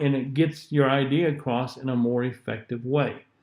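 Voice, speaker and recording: A man with a Southern US accent speaks against a quiet background. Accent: southern US drawl. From US South. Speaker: public speaking teacher. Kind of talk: lecture. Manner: sometimes slurs syllables, not crisp.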